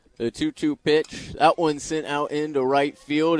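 Noticeable background noise sits behind a man speaking at a fairly high pitch, the sound dry and close with no echo. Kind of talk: live radio play-by-play commentary of a Little League game.

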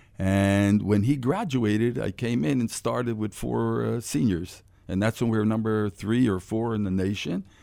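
A man with an American accent talks at a moderate pace with hardly any pauses, his fairly low pitch showing ordinary variation and a dark, mellow tone on a very clean recording with a silent background. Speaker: former basketball player. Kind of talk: radio interview. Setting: studio.

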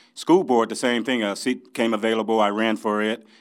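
A plain, everyday voice from a man with an American accent, fairly low in pitch, fairly even in intonation, on a very clean recording with a silent background. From Champaign, Illinois, US Midwest. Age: 60s. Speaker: mayoral candidate. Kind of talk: interview.

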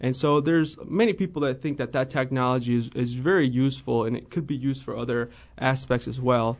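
Speaking at a fairly quick pace, a man has a Midwestern American accent and a medium pitch. The background is quiet. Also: ordinary pitch variation. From US Midwest, central Illinois. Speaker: financial analyst. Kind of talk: radio interview.

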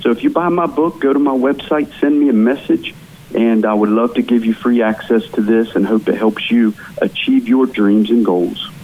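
With an American accent, a man speaks at a moderate pace with very even loudness and ordinary pitch variation against noticeable background noise. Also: medium pitch for a man. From West Virginia, small town. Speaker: author and real estate entrepreneur. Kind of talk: interview.

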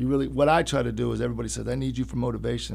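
With audible room echo around him, a man with an American accent talks at a very fast pace and ordinary pitch variation. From Urbana, Illinois. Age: young. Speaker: personal trainer. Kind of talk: interview.

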